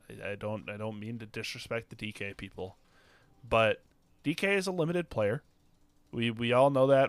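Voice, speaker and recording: On a very clean recording with a silent background, a man with an unremarkable speaking voice talks at a moderate pace and medium pitch with lively intonation. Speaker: podcast co-host, fantasy football analyst. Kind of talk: casual chat, sports analysis discussion.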